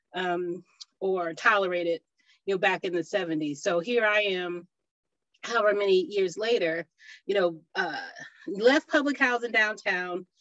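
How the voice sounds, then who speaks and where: A woman's medium-pitched voice at a moderate pace, with ordinary pitch variation and long, frequent pauses, in a dry, close sound with no echo. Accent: Ohio. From Ohio. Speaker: urban farmer and food justice activist. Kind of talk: panel discussion. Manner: halting, many fillers.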